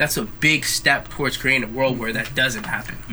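A man speaks at a fairly quick pace and a medium pitch. Noticeable background noise runs behind him. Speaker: college student. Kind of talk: casual chat.

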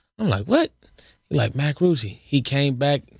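Speaking with an American accent, a man is heard. His pace is fairly quick. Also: dry, close sound with no echo. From Inglewood, Los Angeles, California. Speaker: rapper. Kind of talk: casual interview chat. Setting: studio.

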